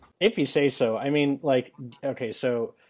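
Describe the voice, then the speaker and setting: A man talks at a fairly slow pace in an ordinary speaking voice, with ordinary pitch variation. The background is quiet. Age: 20s. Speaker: podcast host. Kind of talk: casual chat.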